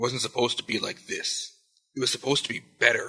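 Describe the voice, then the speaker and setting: A man puts on a raspy character voice. He talks at a very fast pace. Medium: read story. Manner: whiny, fearful.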